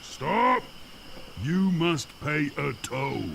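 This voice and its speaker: Clear background noise runs beneath a put-on character voice. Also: man, fairly high pitch for a man. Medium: video game. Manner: gruff, taunting.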